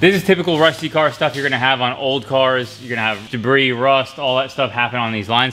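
A man's speech comes at a very fast pace, and his pitch varies in an ordinary way. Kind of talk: tutorial. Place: workshop.

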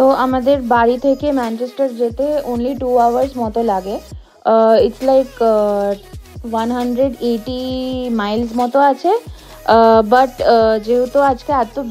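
Faint music plays in the background as a woman speaks with fairly even intonation. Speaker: vlogger in passenger seat. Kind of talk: casual vlog chat. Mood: calm, relaxed. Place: car. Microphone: phone near.

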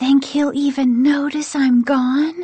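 A woman's whispered, put-on character voice at a fairly slow pace. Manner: loud whisper, light remark with hidden sadness.

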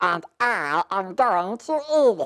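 A female-sounding voice doing a cartoonish character voice. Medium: puppet show. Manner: curt, stubborn, dismissive.

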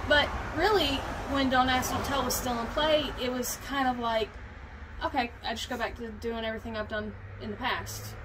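A woman at a moderate pace with ordinary pitch variation, over noticeable background noise. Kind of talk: interview answer. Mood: open, reflective. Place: garden. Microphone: camera far.

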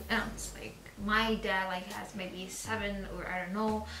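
There is clear music in the background as a woman speaks. The room echo is audible. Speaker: reaction video host. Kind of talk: casual vlog chat. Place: home room. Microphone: camera far.

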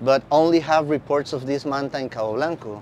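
A man speaks with a Spanish accent at a moderate pace, his intonation fairly even. Light background noise sits under a dry sound with no echo. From Costa Rica. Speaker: marine biologist. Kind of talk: conference talk. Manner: halting.

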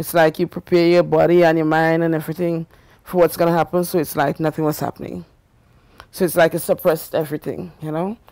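In a quiet, dry setting with no echo, a woman speaks at a very fast pace with a fairly low pitch, a dark, mellow tone and monotone, flat intonation. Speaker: grandmother interviewee. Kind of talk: interview, elder life story. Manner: reflective, candid; measured, matter-of-fact. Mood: reflective about hard childhood. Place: home room.

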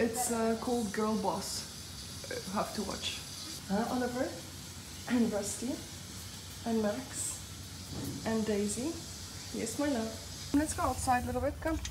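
A woman's fairly high voice at a fairly slow pace, with long, frequent pauses, ordinary pitch variation and noticeable background noise. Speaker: vlogger. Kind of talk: casual vlog narration. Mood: warm, coaxing. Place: home room. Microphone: phone near.

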